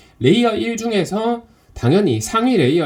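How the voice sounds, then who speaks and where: His pitch swings very widely. The man's voice is somewhat breathy. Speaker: crypto investing instructor. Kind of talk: online lecture. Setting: Zoom live stream.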